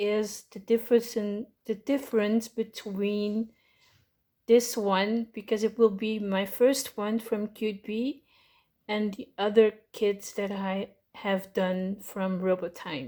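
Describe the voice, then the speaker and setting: A woman with a Dutch accent, fairly high in pitch, with fairly even intonation and a very slow pace. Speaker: miniature kit crafter. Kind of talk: unscripted unboxing talk to camera. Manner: hesitant, casual.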